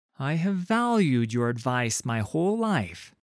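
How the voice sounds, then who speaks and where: A man puts on a character voice with very wide pitch swings at a medium pitch. He talks at a fairly slow pace. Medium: read story. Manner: commanding, forceful.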